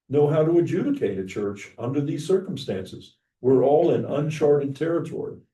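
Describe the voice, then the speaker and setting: A man speaks at a moderate pace in a dark, mellow tone. His pitch is fairly high, with some vocal fry. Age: 70. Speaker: pastor. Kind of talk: class discussion.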